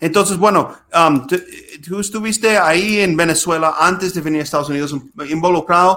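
In an English accent, a man speaks with a bright, sharp tone and ordinary pitch variation. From US Midwest, Minnesota. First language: English (speaking Spanish). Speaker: podcast host, lawyer. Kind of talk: casual interview. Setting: video call.

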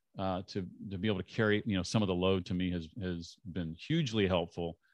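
Against a quiet background, someone talks at a fairly quick pace. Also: man. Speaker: former radio host turned podcaster and author. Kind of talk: interview. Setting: video call.

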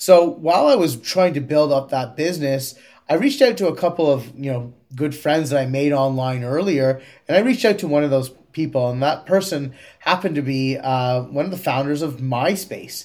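With a Canadian accent, a man talks fairly quickly at a fairly high pitch, his pitch rising and falling in an ordinary way. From Canada, Kingston, Ontario. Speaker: tech startup CEO. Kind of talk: interview.

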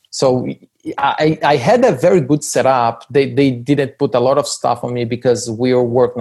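With a Portuguese accent, a man speaks at a moderate pace in a monotone, flat intonation. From Brazil (Rio de Janeiro, then northeast Brazil). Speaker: business school professor. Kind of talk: interview.

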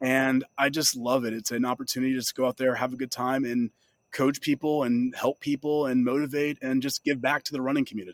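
A man's medium-pitched voice at a fairly quick pace, with fairly even intonation on a very clean recording with a silent background. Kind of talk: interview.

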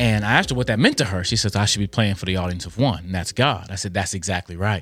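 Over music in the background, a man speaks at a fairly low pitch with ordinary pitch variation. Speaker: Bible teacher. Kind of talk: devotional teaching video. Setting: online video. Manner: fast talker.

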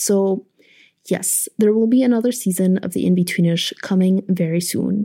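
Speaking at a moderate pace, a woman with a medium pitch and a dark, mellow tone keeps her intonation fairly even. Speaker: podcast host and producer. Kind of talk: scripted narration. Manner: stutters when nervous.

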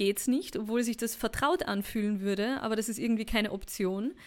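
A woman with a high voice and ordinary pitch variation talks on a very clean recording with a silent background. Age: 30s. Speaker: podcast host and women's mentor. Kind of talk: personal podcast monologue.

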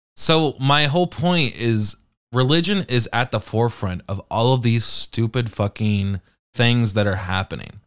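Lively intonation carries a normal speaking voice with an American accent at a fairly slow pace. The recording is very clean, with a silent background. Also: man, medium pitch for a man. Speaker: podcast host. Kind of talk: angry unplanned rant, heated and profane. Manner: baffled, incredulous, sarcastic.

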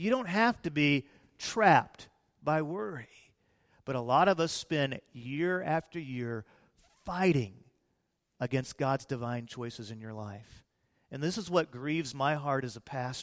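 A man with an American accent and a fairly high pitch, lively intonation, big swings in loudness, a fairly slow pace and long, frequent pauses. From US Midwest (Peoria, Illinois). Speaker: pastor. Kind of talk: sermon. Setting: church.

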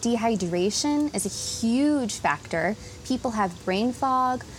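Noticeable background noise fills the recording. A woman talks through it. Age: 30s. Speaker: speech language pathologist. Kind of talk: interview.

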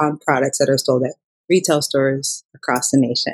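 The voice belongs to a woman. She talks with an American accent. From Minnesota, Minneapolis. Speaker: illustrator and author. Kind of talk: interview. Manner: casual with fillers.

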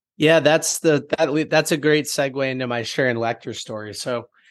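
With ordinary pitch variation and a moderate pace, a normal speaking voice comes across a quiet background. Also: man. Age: 20s. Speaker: entrepreneur and author. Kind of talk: casual chat.

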